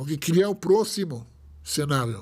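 The speaker has an Israeli accent and lively intonation. The background is quiet. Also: man. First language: Hebrew (speaking Portuguese). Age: 40s. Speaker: rabbi. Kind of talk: casual chat. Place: studio. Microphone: studio mic.

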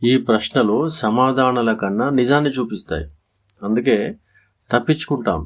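A man with a medium pitch and a plain, everyday voice. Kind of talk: motivational voice-over.

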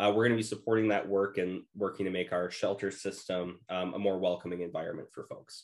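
A man speaks in a fairly low pitch with monotone, flat intonation. Behind him the background is quiet. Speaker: policy director. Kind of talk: presentation.

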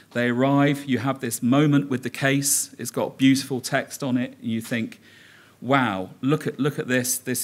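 A man talks in fairly even intonation, keeping a moderate pace. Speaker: conference presenter. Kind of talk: conference talk. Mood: humorous storytelling. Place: hall. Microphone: podium.

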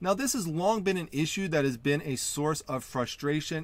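The intonation of this man's voice is lively. The sound is dry, with no echo. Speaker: online reseller channel host. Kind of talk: tutorial. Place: home room.

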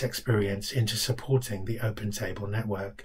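A man speaks at a fairly quick pace in a somewhat breathy voice. His intonation stays fairly even against a quiet background. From London. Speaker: charity director. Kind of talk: scripted self-introduction. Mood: warm, calm, steady. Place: home room. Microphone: webcam.

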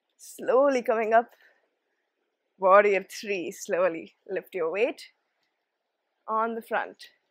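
A soothing, gentle tone at a very slow pace, with long, frequent pauses, ordinary pitch variation and a dry sound with no echo over a quiet background. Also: woman. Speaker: yoga instructor. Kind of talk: guided yoga class with calm, step-by-step cues and encouragement. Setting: home or studio video for online viewers. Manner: soothing, gentle, and encouraging; slow, even pacing with positive praise. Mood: calm, encouraging.

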